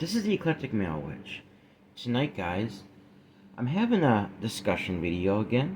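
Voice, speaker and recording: The voice is somewhat breathy, with very wide pitch swings. It moves at a moderate pace with long, frequent pauses. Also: man. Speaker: YouTuber discussing workplace issues. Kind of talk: discussion monologue. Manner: casual, halting at times.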